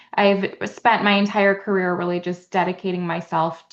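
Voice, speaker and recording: Against noticeable background noise, a woman speaks at a moderate pace with a fairly low pitch. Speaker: state senate candidate and social worker. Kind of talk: interview.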